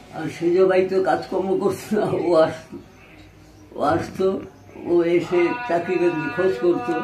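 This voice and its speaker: With music playing in the background, a man speaks at a high pitch with fairly even intonation. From East Bengal (now Bangladesh). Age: 80s+. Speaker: Partition refugee. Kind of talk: personal reminiscence, interview answer.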